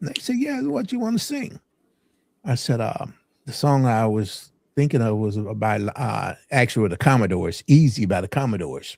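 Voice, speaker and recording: A man with an American accent, very wide pitch swings and a moderate pace, in a very clean recording with a silent background. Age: 70s. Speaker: singer and team bus driver. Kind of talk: interview.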